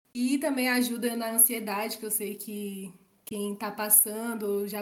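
Against noticeable background noise, a woman speaks at a fairly slow pace with a fairly high pitch. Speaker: podcast guest. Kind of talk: casual chat.

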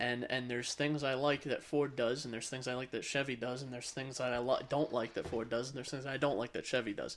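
At a very fast pace with hardly any pauses, a man of medium pitch speaks in a flat, monotone way. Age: young. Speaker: podcast host. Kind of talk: casual chat.

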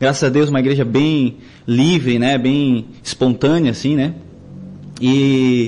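A man at medium pitch talks at a very slow pace with long, frequent pauses, very even loudness and fairly even intonation. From Joinville, Santa Catarina, Brazil (born Florianópolis). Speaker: musician, worship leader. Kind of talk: casual interview. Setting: studio.

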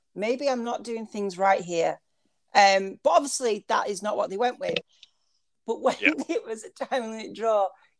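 Moderate pace and ordinary pitch variation in an American accent, with a dry, close sound and no echo. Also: woman. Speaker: wrestling podcast co-host.

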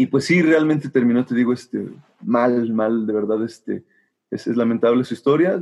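A man talks at a medium pitch, his pitch varying in an ordinary way. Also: moderate pace. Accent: Mexican. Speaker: musician and music teacher. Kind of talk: casual interview.

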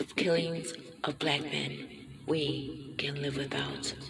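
Over noticeable background noise, a woman speaks very slowly in a solemn tone, her very deep, low voice flat and monotone. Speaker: spoken word poet. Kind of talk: spoken word poem, performed protest poetry with a rhythmic, repeated refrain. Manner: emphatic, impassioned, with stuttering repetition for emphasis; urgent, declamatory, solemn.

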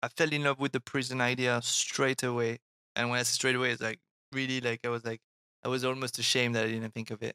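A man with a bright, sharp tone and medium pitch talks at a very fast pace in a monotone, flat intonation, with a dry, close sound and no echo. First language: French. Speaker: artist and illustrator. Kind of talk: casual interview chat. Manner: halting, many repeated words.

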